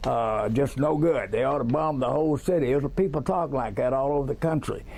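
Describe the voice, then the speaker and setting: In a Texas accent, a man talks at a fairly quick pace and a fairly high pitch with ordinary pitch variation. His loudness stays very even on a very clean recording with a silent background. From Texas, Dallas. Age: 70s. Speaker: eyewitness. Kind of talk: interview.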